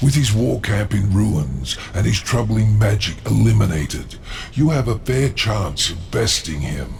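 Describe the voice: Doing a put-on character voice, a man talks at a fairly slow pace and fairly low pitch with vocal fry and big pitch swings. Background noise is clearly audible.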